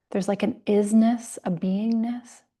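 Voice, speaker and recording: Over a quiet background, a woman talks in a dark, mellow, somewhat breathy tone at a medium pitch, her intonation flat and monotone. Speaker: yoga teacher. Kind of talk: lecture.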